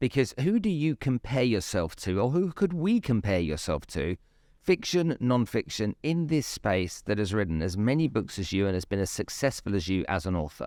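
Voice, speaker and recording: A man with a British accent speaks at a moderate pace in a fairly low pitch, his voice swinging very widely up and down, recorded dry and close with no echo, very clean against a silent background. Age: 50s. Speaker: podcast host. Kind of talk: interview. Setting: stage at literature festival. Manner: halting, repeats words.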